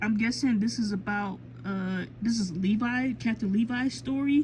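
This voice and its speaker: Lively intonation in a woman's slightly airy voice. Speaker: manga collector vlogger. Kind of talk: casual collection show-and-tell vlog. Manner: hesitant, many fillers and self-corrections.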